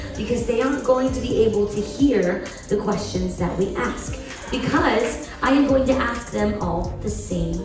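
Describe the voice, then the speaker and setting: A woman speaking at a fairly slow pace, with audible room echo and music in the background. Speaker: game show host. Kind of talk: stage host announcements. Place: hall.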